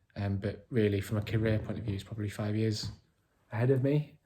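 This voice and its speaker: Over a silent background in a very clean recording, a man speaks at a fairly quick pace in a fairly low pitch, his dark, mellow voice somewhat breathy and his intonation monotone and flat. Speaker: vlogger with chronic illness. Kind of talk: video diary. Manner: halting.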